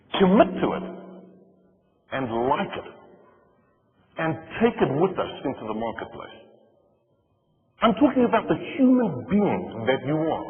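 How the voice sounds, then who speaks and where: Over music in the background, a man with fairly high pitch and very wide pitch swings talks at a fairly slow pace, leaving long, frequent pauses. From South Africa. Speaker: motivational speaker. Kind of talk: keynote speech.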